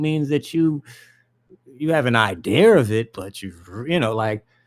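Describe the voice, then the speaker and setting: A man's fairly high voice at a moderate pace, with very wide pitch swings, on a very clean recording with a silent background. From Caribbean and Sudanese heritage. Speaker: conspiracy video commentator. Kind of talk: casual rambling commentary. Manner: animated.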